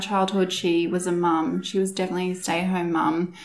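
A woman speaks at a moderate pace in a medium pitch, with an Australian accent. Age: 30s. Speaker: lash and brow technician. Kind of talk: interview.

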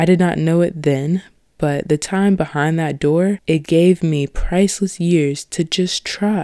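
A woman with a fairly low, dark and mellow voice speaks fairly slowly and fairly evenly, the sound dry and close with no echo. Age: young. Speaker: podcast host. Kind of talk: scripted narration. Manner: formal.

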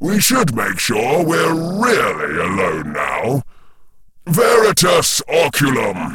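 Using a put-on character voice, a man speaks at a very slow pace and a fairly high pitch. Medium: read story. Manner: cold, controlled.

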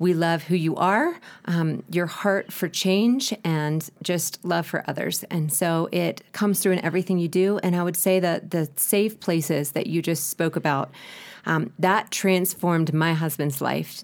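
A woman with an American accent speaks in a plain, everyday voice, fairly low in pitch with ordinary pitch variation. Her pace is fairly slow, on a very clean recording with a silent background. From United States. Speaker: ministry director. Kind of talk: interview.

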